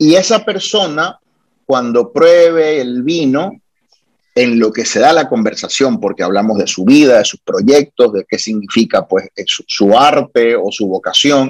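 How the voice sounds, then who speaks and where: With a normal speaking voice, a man speaks at a fairly slow pace and fairly high pitch, using lively intonation. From born in Guayaquil, Ecuador; Puerto Rico is his homeland. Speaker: lawyer and wine blogger. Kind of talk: casual interview.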